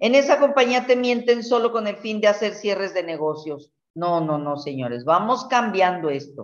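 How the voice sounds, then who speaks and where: A woman's medium-pitched voice with very wide pitch swings, a moderate pace, hardly any pauses, and a quiet background. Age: 60s. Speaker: network marketing leader and herbalist; guest. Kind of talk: mentoring talk. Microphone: video call.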